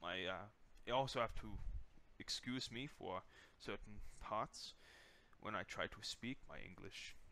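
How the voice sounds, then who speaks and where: Speaking at a fairly slow pace with long, frequent pauses, a man shows vocal fry, a bright, sharp tone and ordinary pitch variation. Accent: German. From Germany, Hannover. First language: German. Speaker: gaming YouTuber. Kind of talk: channel introduction monologue. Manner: hesitant, many fillers.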